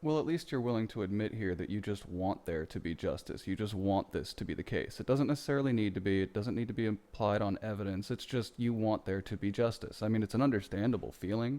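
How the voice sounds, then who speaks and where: A plain, everyday voice: a man at a fairly low pitch, speaking at a fairly quick pace with ordinary pitch variation. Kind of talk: video commentary reacting to clips. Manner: exasperated, profane.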